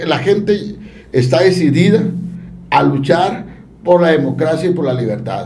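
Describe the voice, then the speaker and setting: Noticeable background noise and audible room echo surround a man with a fairly high pitch and lively intonation. He speaks at a fairly slow pace with long, frequent pauses. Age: 50s. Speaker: civic activist and association leader. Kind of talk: casual interview.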